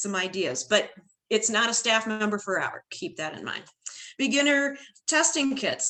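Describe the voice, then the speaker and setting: With a US Midwestern accent, a woman uses a bright, sharp tone at medium pitch, moving at a moderate pace with lively intonation. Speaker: retired band director, workshop presenter. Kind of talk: online professional development presentation.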